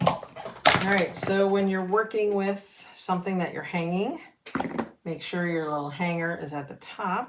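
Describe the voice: A woman at a fairly low pitch and fairly slow pace, ordinary pitch variation, with audible room echo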